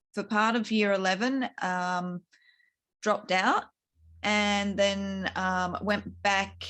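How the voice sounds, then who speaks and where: Against a quiet background, a woman with an Australian accent speaks very slowly at a medium pitch, her tone bright and sharp and her intonation flat and monotone. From Queensland, Australia. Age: 40s. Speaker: author. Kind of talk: interview testimony. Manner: halting.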